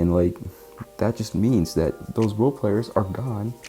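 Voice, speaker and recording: A man is speaking. Music plays in the background. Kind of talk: casual sports commentary while watching a game. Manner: stuttering, casual.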